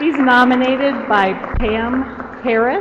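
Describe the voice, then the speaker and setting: A woman is speaking. Noticeable noise sits in the background. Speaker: award ceremony presenter. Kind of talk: reading award citations at ceremony. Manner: soft-spoken.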